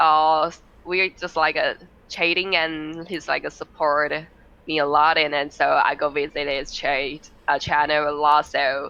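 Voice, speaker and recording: A woman's very deep, low-pitched voice at a fairly slow pace. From Taiwan. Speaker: streamer. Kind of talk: podcast interview. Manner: halting.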